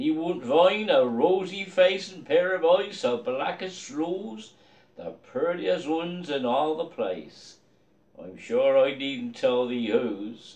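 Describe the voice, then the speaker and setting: Very slow and fairly high-pitched, a man with a Dorset accent makes very wide pitch swings and big swings in loudness. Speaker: poetry reader in costume. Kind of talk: poetry reading. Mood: festive, jovial. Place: home room. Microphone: phone near.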